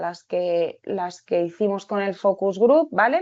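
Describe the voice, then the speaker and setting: A woman talks very slowly, her voice pitched in the middle range. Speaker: researcher and occupational therapist. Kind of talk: webinar presentation. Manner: halting.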